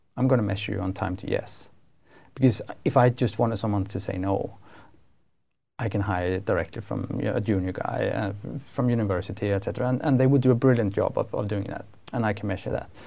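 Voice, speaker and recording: A man's fairly low, dark, mellow voice, somewhat breathy, with a Swedish accent, ordinary pitch variation and a fairly quick pace, on a very clean recording with a silent background. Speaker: podcast host. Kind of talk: interview. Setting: studio.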